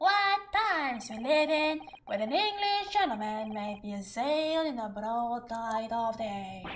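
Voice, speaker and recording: A woman puts on a character voice, high-pitched with very wide pitch swings. She talks at a fairly slow pace over clear background noise. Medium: game stream. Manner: rambling, ornate, pompous.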